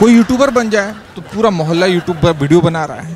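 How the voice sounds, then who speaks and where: Over music in the background, a man speaks at a moderate pace with a high pitch and lively intonation. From Bihar, India. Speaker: stand-up comedian. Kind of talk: stand-up comedy set to an audience. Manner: lively, humorous, conversational.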